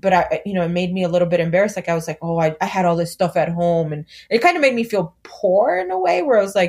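Speaking very fast in an animated tone, a woman with an American accent has a fairly low, somewhat breathy voice. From US West Coast, Los Angeles, San Fernando Valley. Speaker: community organizer and mother. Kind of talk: casual chat. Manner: animated, laughing.

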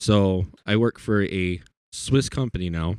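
On a very clean recording with a silent background and a dry, close sound with no echo, a man with an American accent speaks in a very deep, low pitch with ordinary pitch variation. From US South. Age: 20s. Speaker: guitarist. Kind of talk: casual chat.

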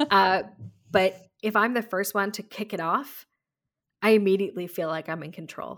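Delivered at a moderate pace with fairly even intonation, the speech has long, frequent pauses and big swings in loudness on a very clean recording with a silent background. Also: woman. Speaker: podcast host. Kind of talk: casual conversational podcast chat.

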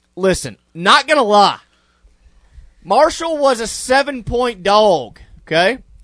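A man at a very slow pace, his pitch swinging very widely. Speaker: radio sports talk host. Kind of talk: radio DJ patter, sports talk show host banter.

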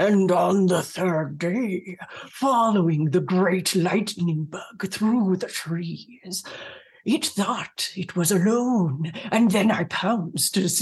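A resonant, croaky, put-on character voice, female-sounding and medium in pitch, at a very slow pace. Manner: storytelling.

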